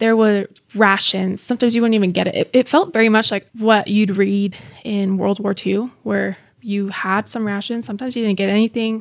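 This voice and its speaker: This woman has an unremarkable speaking voice with an American accent, medium pitch and fairly even intonation at a fairly quick pace. The recording is very clean, with a silent background. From Bosnia, raised in the US from age three. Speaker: former refugee. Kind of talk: interview.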